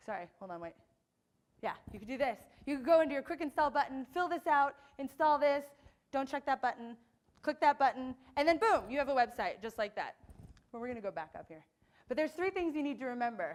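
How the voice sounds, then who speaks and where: An animated woman with an American accent and a high pitch talks at a very fast pace in lively intonation, with long, frequent pauses and big swings in loudness. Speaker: conference speaker, web developer. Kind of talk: conference talk. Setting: stage with audience.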